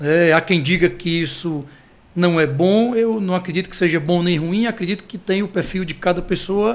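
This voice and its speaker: This man's voice is high in pitch, and his intonation is fairly even. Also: moderate pace. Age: 30s. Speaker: marketing director of family business. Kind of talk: interview conversation.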